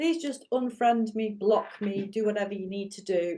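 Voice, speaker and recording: On a very clean recording with a silent background, a woman speaks at a moderate pace in a dark, mellow tone with fairly even intonation. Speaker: martial arts teacher and business coach. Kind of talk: casual monologue to camera. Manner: lecturing, teacherly.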